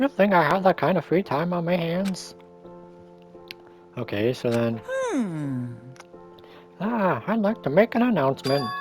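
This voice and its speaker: A man performs a put-on character voice with very wide pitch swings. Clear music plays in the background. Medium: game stream. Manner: playful, taunting.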